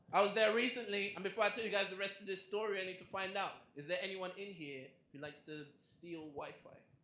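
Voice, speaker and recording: A man's raised, projected voice, high-pitched and bright and sharp in tone, at a very fast pace with ordinary pitch variation, big swings in loudness and audible room echo. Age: young. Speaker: comedian. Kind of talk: stand-up. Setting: stage with audience.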